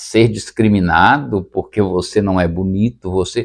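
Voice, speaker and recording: A man talks at a fairly slow speed with a quiet background behind him. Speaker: retired teacher and comedy content creator. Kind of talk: casual talk to camera, podcast-style. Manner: hesitant, reflective.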